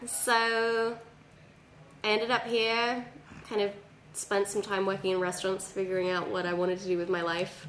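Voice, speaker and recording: With an English accent, a woman at medium pitch talks at a moderate pace with fairly even intonation, very even loudness and long, frequent pauses, in a room with audible echo. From England. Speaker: comedian. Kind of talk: casual chat.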